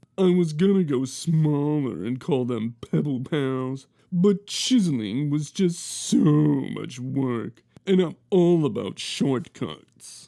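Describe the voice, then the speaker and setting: A man puts on a character voice at a fairly high pitch. He talks at a very slow pace with lively intonation. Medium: read story. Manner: stammering on first sounds.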